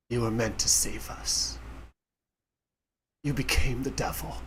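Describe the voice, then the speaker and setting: A man uses a raspy put-on character voice. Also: moderate pace. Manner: accusing, strained.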